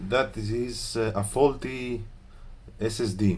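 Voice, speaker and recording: A man with a Greek accent speaks at a very slow pace. His ordinary pitch variation carries audible room echo. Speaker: laptop repair technician. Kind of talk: tutorial. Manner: hesitant, many fillers.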